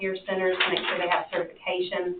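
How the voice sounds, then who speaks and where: A woman with a Southern US accent speaks at a medium pitch against noticeable background noise. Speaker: extension agent presenting to county board. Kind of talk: presentation at public meeting. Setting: county commission meeting.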